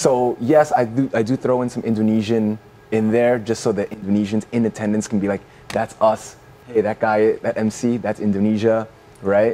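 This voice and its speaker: At a moderate pace, a man with a medium pitch and a dark, mellow tone speaks in a monotone, flat intonation. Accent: New York. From New York City. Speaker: MC and television personality. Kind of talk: casual chat.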